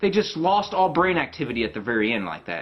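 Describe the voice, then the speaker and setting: A man is speaking. He is shouting. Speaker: gaming video creator. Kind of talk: rant video. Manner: yelling.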